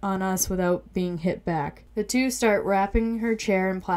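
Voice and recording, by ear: Text read aloud in a natural voice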